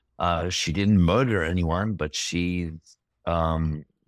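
A man's very deep, low voice with fairly even intonation, dry and close with no echo, on a very clean recording with a silent background. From Israel. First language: Hebrew. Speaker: filmmaker. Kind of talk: interview. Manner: halting.

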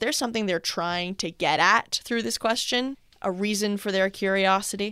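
In a very clean recording with a silent background, a woman with an unremarkable speaking voice talks at a moderate pace. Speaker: podcast host. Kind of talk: casual chat. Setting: studio.

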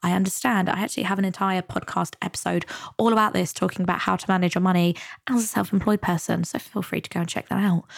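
Speaking very fast with a British accent, a woman at medium pitch comes through on a very clean recording with a silent background. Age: 20s. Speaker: money and mindset coach, podcast host. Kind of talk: solo podcast monologue. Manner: casual, upbeat.

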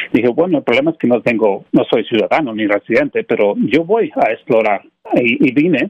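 A man at a moderate pace. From Mexico. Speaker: IT business owner. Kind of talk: radio interview. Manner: halting.

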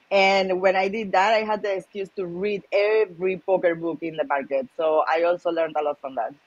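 With a Spanish accent, a woman talks at a fairly quick pace and medium pitch, with ordinary pitch variation and hardly any pauses. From Malaga, Spain. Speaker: professional poker player. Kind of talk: casual interview chat.

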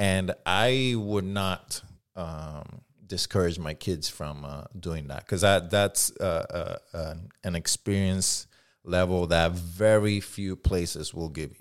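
In a very clean recording with a silent background, a man with a Puerto Rican accent speaks very slowly at a very deep, low pitch, with ordinary pitch variation and big swings in loudness. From Puerto Rico. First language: Spanish. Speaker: firearms instructor and rights advocate. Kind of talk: podcast interview. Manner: halting.

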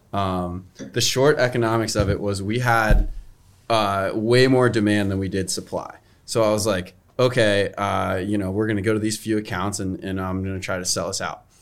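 A man speaks in a plain, everyday voice at a moderate pace, his pitch fairly low and his intonation fairly even. The recording is very clean with a silent background. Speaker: brewery team member. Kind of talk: casual tasting chat. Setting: studio.

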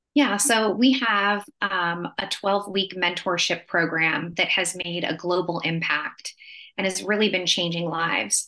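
A woman speaks at medium pitch. Her tone is bright and sharp. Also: quiet background. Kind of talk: casual conversational podcast discussion.

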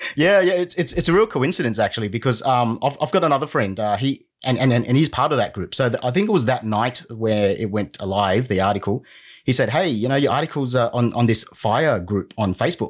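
In an Australian accent, a man talks at a fairly quick pace with medium pitch, lively intonation and very even loudness, on a very clean recording with a silent background. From Sydney, Australia (southwest), arrived from Vietnam at six. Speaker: former team lead turned small business owner. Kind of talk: casual interview. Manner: halting, with many fillers and restarts.

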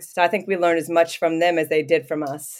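The delivery is fairly quick and monotone, flat in intonation, with a Midwestern accent. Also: woman, very clean recording, silent background. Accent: American Midwest. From US Midwest (southwest Ohio). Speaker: professional basketball player. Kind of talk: casual interview.

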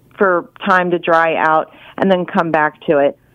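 A woman talks in an unremarkable speaking voice at a medium pitch. Her intonation stays fairly even. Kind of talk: radio interview.

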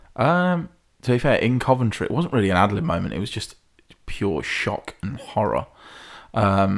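On a very clean recording with a silent background, a man with an English Midlands accent talks fairly quickly with very wide pitch swings. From English Midlands, Hinckley. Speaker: stage performer and singer. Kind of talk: casual chat.

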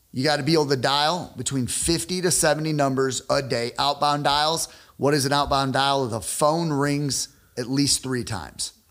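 Fairly even intonation marks a plain, everyday voice moving at a moderate pace. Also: man, fairly high pitch for a man. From northern Illinois (Rockford, near Chicago). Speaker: sales expert and entrepreneur. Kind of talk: casual interview chat.

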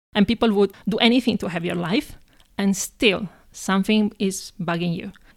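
A woman speaks in an Italian accent. Her intonation stays fairly even. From Italy, Padova near Venice. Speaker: marketing professional. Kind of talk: interview.

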